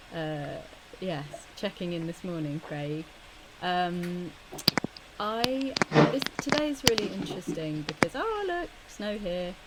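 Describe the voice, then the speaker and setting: Long, frequent pauses break up very slow speech, and noticeable background noise runs throughout. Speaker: co-host of coaching masterclass. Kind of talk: online masterclass talk. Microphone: quiet volume and hiss.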